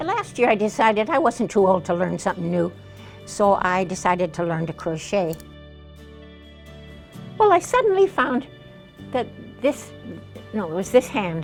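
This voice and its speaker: Over music in the background, a woman speaks at a moderate pace with long, frequent pauses. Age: 80s+. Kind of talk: interview answer.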